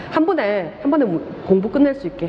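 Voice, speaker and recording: A woman speaks very fast in an animated tone, her pitch swinging very widely. Noticeable background noise runs underneath. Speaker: lecturer. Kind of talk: lecture. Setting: classroom with live students. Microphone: muffled by face mask.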